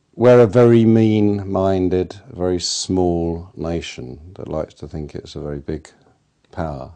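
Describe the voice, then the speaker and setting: Very deep and low, a man's voice has a dark, mellow tone, ordinary pitch variation, big swings in loudness and a fairly slow pace. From England. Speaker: interviewee, activist artist. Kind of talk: interview. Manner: animated, emphatic.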